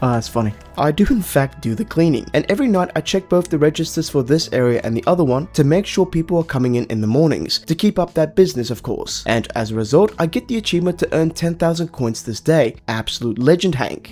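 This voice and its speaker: A man speaks at a very fast pace and a fairly high pitch. His tone is dark and mellow, with lively intonation. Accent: non-native. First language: not English. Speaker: gaming YouTuber. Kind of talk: gameplay commentary.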